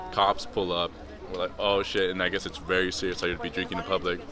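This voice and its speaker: Against noticeable background noise, a man with a very deep, low voice speaks very fast with fairly even intonation. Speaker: vlogger on a trip. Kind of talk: casual vlog chat. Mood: amused, recounting trouble. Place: street. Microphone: camera far.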